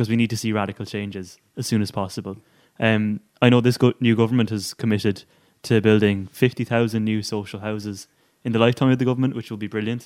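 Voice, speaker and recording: Very fast and flat in a monotone, a man with an Irish accent and a fairly low pitch speaks on a very clean recording with a silent background. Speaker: podcast co-host. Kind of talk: casual political discussion.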